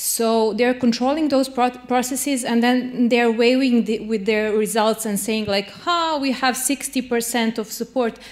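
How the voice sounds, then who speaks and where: Against a quiet background, a woman with a Serbian accent speaks at a high pitch and a fairly slow pace, with fairly even intonation and hardly any pauses. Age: 30s. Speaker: lawyer and human rights activist; lawyer. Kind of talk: panel discussion. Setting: stage with audience. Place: hall. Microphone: handheld.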